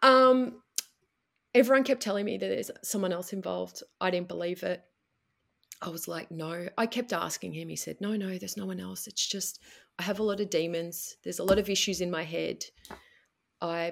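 On a very clean recording with a silent background, a woman with an Australian accent talks at a moderate pace, with long, frequent pauses and big swings in loudness. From Melbourne, Australia. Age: 40s. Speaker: coaching client sharing marriage story. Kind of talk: personal testimony in interview.

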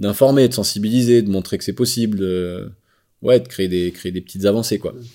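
A man with a dark, mellow tone talks at a moderate pace with ordinary pitch variation, in a very clean recording with a silent background. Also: fairly low pitch for a man. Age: 40s. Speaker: social entrepreneur. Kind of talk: interview. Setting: on site at rural venue.

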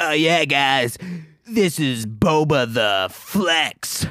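Putting on a character voice, a man speaks very slowly at a fairly high pitch with lively intonation. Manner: brash, hyped-up.

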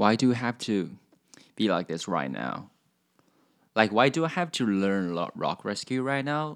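On a very clean recording with a silent background, a man talks at a fairly slow pace with lively intonation. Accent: Chinese. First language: Chinese. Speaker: podcast host. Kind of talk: casual chat. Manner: halting.

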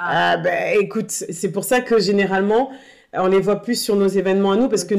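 A woman has an unremarkable speaking voice with a medium pitch. She talks at a moderate pace. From northern France, Tourcoing. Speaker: association co-founder. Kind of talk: casual chat.

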